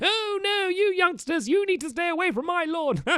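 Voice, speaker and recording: In a put-on character voice pitched extremely high, the speaker talks at a moderate pace. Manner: grumpy, scolding.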